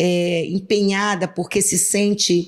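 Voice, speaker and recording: A woman's medium-pitched voice in a monotone, flat intonation, with noticeable background noise. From Brazil, western Pará (Alenquer). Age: 60s. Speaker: politician, state legislator. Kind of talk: interview.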